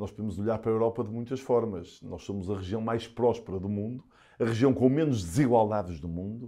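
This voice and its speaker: In a northern Portuguese accent, a man speaks fairly quickly at medium pitch with a dark, mellow tone and ordinary pitch variation, over a quiet background. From northern Portugal, Porto. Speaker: politician and physician. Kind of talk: interview.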